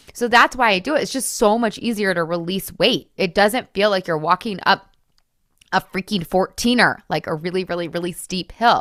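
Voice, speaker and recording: A woman speaks in an animated tone at a medium pitch with ordinary pitch variation. The sound is dry and close, with no echo. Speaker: podcast host, weight loss coach. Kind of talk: podcast monologue. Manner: fast.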